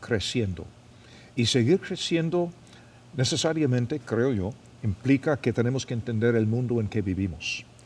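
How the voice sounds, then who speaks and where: A man talks at a fairly slow pace with lively intonation and medium pitch. His voice is somewhat breathy, on a very clean recording with a silent background. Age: 70s. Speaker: pastor and podcast host. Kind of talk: casual interview chat. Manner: halting, repeats words.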